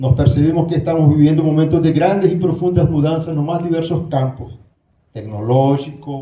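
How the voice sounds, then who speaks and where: With a Nicaraguan accent, a man speaks at a moderate pace in a fairly high, somewhat breathy voice with a dark, mellow tone and ordinary pitch variation, amid audible room echo. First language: Spanish (speaking Portuguese). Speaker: professor, candidate for university leadership. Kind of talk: debate speech. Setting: auditorium with audience.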